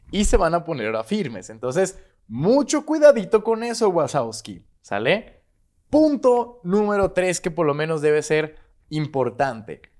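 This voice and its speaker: A man talks at a fairly slow pace in an animated tone. His high voice makes very wide pitch swings. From Mexico, Guadalajara, Jalisco. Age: 20s. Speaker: YouTuber on leadership and crypto. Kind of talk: solo video monologue.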